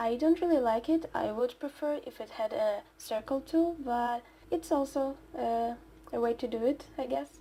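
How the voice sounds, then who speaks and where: Ordinary pitch variation runs through a dark, mellow tone. The pace is moderate. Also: woman, high pitch for a woman. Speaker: digital artist. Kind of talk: speedpaint voiceover commentary. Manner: quiet; halting.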